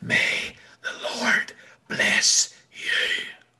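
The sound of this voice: An extremely high-pitched, breathy put-on character voice.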